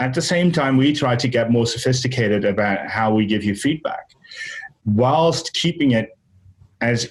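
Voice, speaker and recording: The speaker sounds somewhat breathy, with ordinary pitch variation and a moderate pace. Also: man. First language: Dutch. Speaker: software founder. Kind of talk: interview. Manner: halting.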